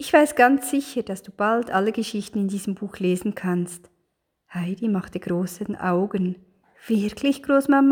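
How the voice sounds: Quiet surroundings behind a natural reading voice.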